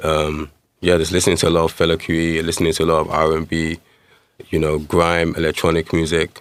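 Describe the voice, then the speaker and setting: A man with a London accent, very deep low pitch, very fast pace, and flat monotone intonation. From East London, England (born in Nigeria). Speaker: musician. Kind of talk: interview.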